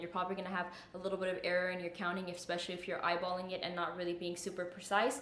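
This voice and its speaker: Speech comes at a very fast pace, with audible room echo and noticeable background noise. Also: woman. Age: 20s. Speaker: fitness YouTuber. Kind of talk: tutorial.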